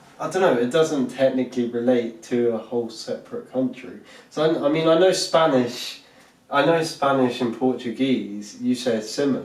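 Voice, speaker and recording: In a Southeast English accent, a man speaks at a moderate pace and medium pitch with ordinary pitch variation. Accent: Southeast England. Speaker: podcast co-host. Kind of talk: casual chat. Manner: halting.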